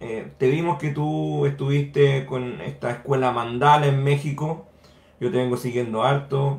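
Somewhat breathy and at a medium pitch, a man talks at a fairly slow pace with fairly even intonation in a room with audible echo. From Chile. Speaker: political movement representative; radio panelist. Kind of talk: panel questioning. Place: home room. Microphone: earbuds.

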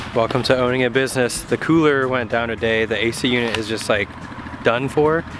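Over noticeable background noise, a man talks with fairly even intonation in a dry sound with no echo. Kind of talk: casual vlog chat. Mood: mildly frustrated, resigned. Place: forest. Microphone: phone near.

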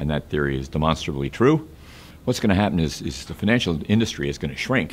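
A man with very deep, low pitch and light background noise. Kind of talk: interview answer. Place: office.

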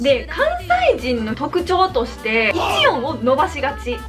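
A woman speaks at a fairly slow pace in a Kansai accent. Clear music plays in the background. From Kansai, Japan. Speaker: YouTuber. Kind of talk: casual talk to camera. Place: home room.

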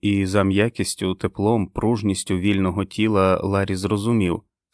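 A natural reading voice is recorded over a quiet background.

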